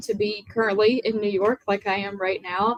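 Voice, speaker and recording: At a moderate pace, a woman talks in a medium pitch, the sound dry and close with no echo. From US South, small town in Virginia. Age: young. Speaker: country music singer. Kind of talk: interview.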